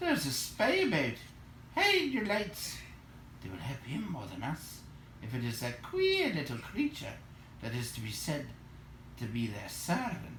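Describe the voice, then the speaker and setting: A man in a put-on character voice talks at a moderate pace with long, frequent pauses, and background noise is clearly audible. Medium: read story. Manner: suspicious.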